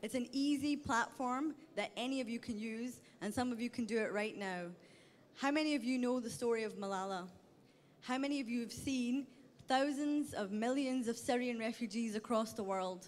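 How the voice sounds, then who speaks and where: In a Scottish accent, a woman speaks at a high pitch. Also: ordinary pitch variation, moderate pace. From Scotland. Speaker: startup pitch presenter. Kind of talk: pitch presentation.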